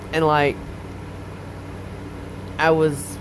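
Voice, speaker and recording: Against noticeable background noise, a woman speaks very slowly in a very deep, low voice. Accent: Southern US. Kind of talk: casual talk to camera.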